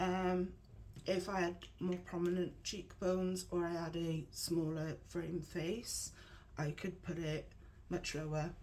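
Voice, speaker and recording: A woman whispering very slowly in an English accent, with audible room echo. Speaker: makeup tutorial youtuber. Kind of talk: tutorial. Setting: at home with painters in the room. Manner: casual, hesitant with fillers.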